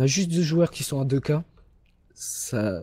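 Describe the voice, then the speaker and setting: A man speaks in a dark, mellow tone that is somewhat breathy. The recording is very clean, with a silent background. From Toulouse, southern France. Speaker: esports caster. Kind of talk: live commentary. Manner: animated.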